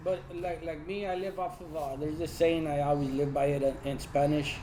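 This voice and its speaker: With audible room echo and noticeable background noise, a man talks at a fairly quick pace in a fairly high pitch and fairly even intonation. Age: 30s. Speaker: lowrider club member. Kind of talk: casual chat.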